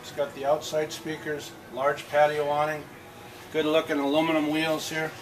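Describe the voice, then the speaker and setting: A man is heard with noticeable background noise. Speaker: camper salesman. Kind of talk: sales walkthrough tour. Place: hall. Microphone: camera far.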